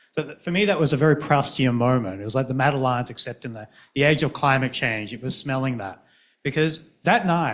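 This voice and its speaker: A man speaks with an Australian accent. His pitch is fairly high, with ordinary variation. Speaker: physician and researcher. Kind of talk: panel discussion.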